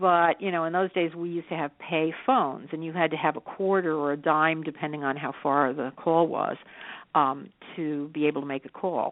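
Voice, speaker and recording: A woman with an American accent speaks in a very deep, low pitch. Her intonation is fairly even and her pace moderate. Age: 60s. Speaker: psychic medium. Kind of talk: radio interview.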